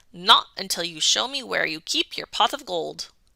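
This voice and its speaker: A woman growls in a put-on character voice at a medium pitch. She keeps a moderate pace, with big swings in loudness. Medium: read story. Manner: whiny.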